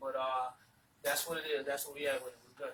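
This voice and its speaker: With an American accent, a man talks fairly quickly while noticeable noise runs in the background. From South Carolina, Georgetown area (low country). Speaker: rapper. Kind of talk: casual interview chat.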